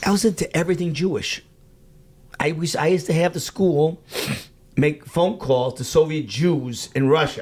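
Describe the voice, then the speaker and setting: Speaking with a slight Chicago accent, a man with a fairly high pitch keeps a moderate pace and ordinary pitch variation, broken by long, frequent pauses. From US Midwest, Chicago. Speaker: rabbi, outreach worker. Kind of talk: casual interview.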